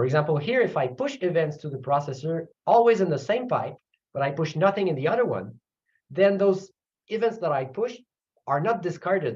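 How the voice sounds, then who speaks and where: A man with a Quebec French accent talks at a fairly quick pace, his pitch swinging very widely. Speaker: computer science professor. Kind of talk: technical lecture. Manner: halting, with fillers and repeats.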